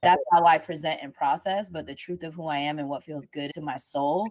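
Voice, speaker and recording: The voice is a woman's. The background is silent and the recording very clean. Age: 30s. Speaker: artist, musician and sound healer. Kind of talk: casual chat. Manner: fast.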